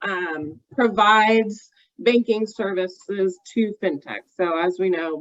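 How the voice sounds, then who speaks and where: This woman's voice sits at a medium pitch and shows ordinary pitch variation. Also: dry, close sound with no echo. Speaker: bank executive. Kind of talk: panel discussion.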